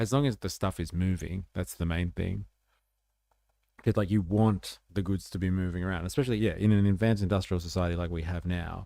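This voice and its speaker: With an Australian accent, a man speaks at a fairly quick pace in a very deep, low voice with a dark, mellow tone, on a very clean recording with a silent background. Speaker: political livestreamer. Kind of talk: casual livestream commentary. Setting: livestream. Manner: animated.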